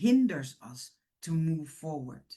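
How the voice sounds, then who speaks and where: A woman speaks at a very slow pace with a Dutch accent. Her dark, mellow tone is somewhat breathy. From Netherlands, Surinamese-born. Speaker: women's ministry leader. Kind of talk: motivational talk.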